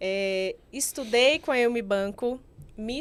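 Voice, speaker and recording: This woman talks with a Bahian accent and ordinary pitch variation. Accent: Bahian (far south of Bahia), noticeable. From Bahia, Brazil (far south, rural village). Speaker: investment specialist and financial planner. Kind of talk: podcast interview.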